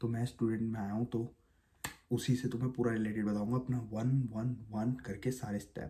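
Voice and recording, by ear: A man's fairly low-pitched voice, dark and mellow in tone, with fairly even intonation.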